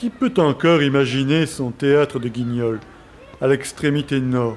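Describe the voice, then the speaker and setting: Noticeable background noise accompanies a man speaking at a fairly slow pace. His fairly high pitch shows ordinary variation. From France, Marseille. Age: 40s. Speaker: documentary narrator. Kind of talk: scripted narration.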